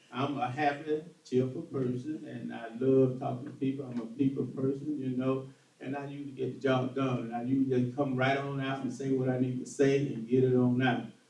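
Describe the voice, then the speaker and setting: Amid audible room echo, a man with a Southern US accent talks at a fairly quick pace and medium pitch, in monotone, flat intonation with hardly any pauses. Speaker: political candidate. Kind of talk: political forum answer. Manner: halting.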